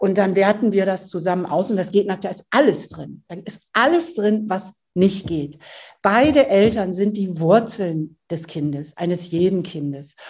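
The voice is somewhat breathy, with ordinary pitch variation. It moves at a fairly slow pace with big swings in loudness. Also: woman, medium pitch for a woman. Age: 60s. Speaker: author and family counselor. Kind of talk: interview.

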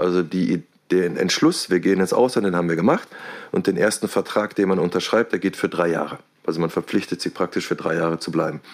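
Here a man speaks at a very fast pace. His pitch is very deep and low, and his intonation is fairly even. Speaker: deputy head teacher. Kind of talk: interview.

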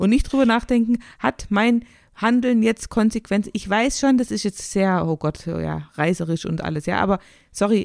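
Recorded very cleanly against a silent background, a woman with a normal speaking voice talks at a moderate pace in a medium pitch with ordinary pitch variation. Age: 40s. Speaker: podcast co-host. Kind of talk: casual chat.

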